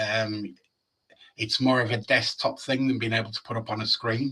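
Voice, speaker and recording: With a Yorkshire accent, this man talks at a moderate pace in a medium pitch, his intonation flat and monotone. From Yorkshire, northern England. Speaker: data dashboard developer. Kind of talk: technical presentation with live demo. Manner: casual, with hesitations.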